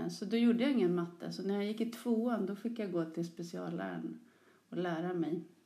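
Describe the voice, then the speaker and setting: Speaking at a fairly quick pace, a woman with a dark, mellow tone and vocal fry is heard against audible room echo. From Stockholm area, Sollentuna. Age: 40s. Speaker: teacher. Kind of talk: interview.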